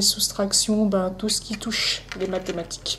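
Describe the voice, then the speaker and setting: Flat, monotone delivery with noticeable noise in the background. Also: woman. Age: 20s. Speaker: interviewee with dyspraxia. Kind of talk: testimony interview. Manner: halting, many hesitations.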